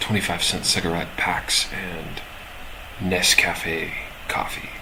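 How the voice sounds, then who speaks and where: Noticeable background noise and audible room echo are present. Through them, the man speaks very slowly. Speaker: live-streaming software developer. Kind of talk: casual live stream coding chat. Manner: halting, many fillers.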